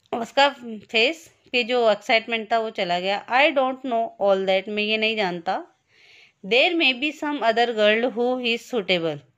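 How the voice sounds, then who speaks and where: A plain, everyday voice with lively intonation against a quiet background. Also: woman, fairly high pitch for a woman. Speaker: school teacher. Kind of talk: lesson reading aloud with translation.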